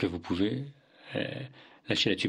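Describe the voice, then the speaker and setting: Vocal fry and pitch that swings very widely in a man's speech. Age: 40s. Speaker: author and workplace well-being coach. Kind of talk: interview. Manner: hesitant, many fillers.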